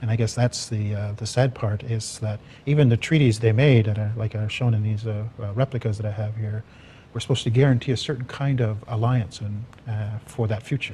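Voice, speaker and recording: A man's somewhat breathy, dark, mellow voice at a medium pitch, fairly quick, with fairly even intonation. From Six Nations (Haudenosaunee), Ontario. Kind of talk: panel discussion. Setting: TV studio. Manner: hesitant, many fillers.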